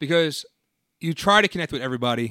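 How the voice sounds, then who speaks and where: The voice has a bright, sharp tone and an American accent. The sound is dry and close, with no echo. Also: man. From New Jersey. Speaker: high school English teacher and podcast host. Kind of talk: casual chat.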